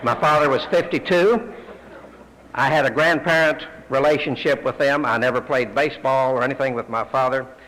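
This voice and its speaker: With a Texan accent, a man speaks at a fairly high pitch and a fairly quick pace. His pitch varies in an ordinary way, and background noise is noticeable. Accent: Texan US Southern. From Texas, Fort Worth. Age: 60s. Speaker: AA speaker. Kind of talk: testimony.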